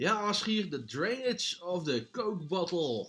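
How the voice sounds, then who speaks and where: Very slowly and in a raised, projected voice, a man speaks high and bright with a sharp edge, his pitch swinging very widely. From Netherlands, Friesland. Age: 40s. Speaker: live streamer. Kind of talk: casual chat reading live chat. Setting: live stream. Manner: halting, many repetitions.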